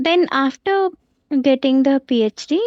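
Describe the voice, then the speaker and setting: A woman with an Indian accent speaks with ordinary pitch variation. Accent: Indian English, Telugu. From India, Andhra Pradesh. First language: Telugu. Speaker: professor. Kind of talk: interview. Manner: halting.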